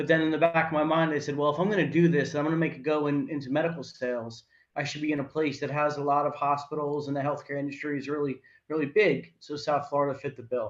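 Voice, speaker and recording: Very fast and with a New Jersey accent, a man speaks at a fairly high pitch. His intonation is monotone and flat. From northern New Jersey, Morris County. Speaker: healthcare sales professional. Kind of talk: interview.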